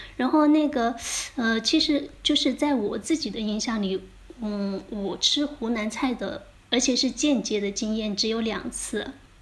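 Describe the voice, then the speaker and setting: A woman speaks with a fairly high pitch. There is noticeable background noise behind her. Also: ordinary pitch variation, fairly slow pace. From Jiangxi, Fuzhou (Linchuan). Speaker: podcast host. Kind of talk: casual chat. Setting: remote recording, evening.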